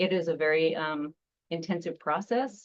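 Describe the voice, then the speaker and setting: A woman speaks in a normal speaking voice with a fairly low pitch and ordinary pitch variation. She has an American accent. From Seattle. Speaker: nonprofit founder. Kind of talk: presentation.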